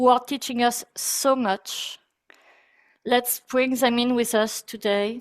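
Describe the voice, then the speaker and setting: A woman with a French accent speaks at a high pitch and a very slow pace. Her intonation is monotone and flat. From France. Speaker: breathwork teacher. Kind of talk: guided meditation; webinar talk. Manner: soft-spoken.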